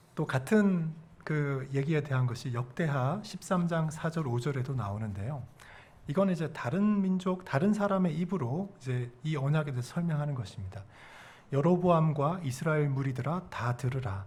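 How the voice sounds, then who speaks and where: A man's fairly high, somewhat breathy voice at a moderate pace with lively intonation and audible room echo. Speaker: pastor. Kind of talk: sermon.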